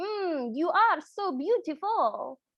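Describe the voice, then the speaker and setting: The speaker puts on a character voice with an Italian accent. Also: woman, extremely high pitch for a woman. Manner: flirty, admiring.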